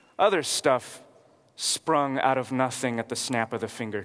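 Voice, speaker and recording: Speaking with an American accent, a man uses a plain, everyday voice at medium pitch with ordinary pitch variation. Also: big swings in loudness. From California, Watsonville. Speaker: pastor. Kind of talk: sermon.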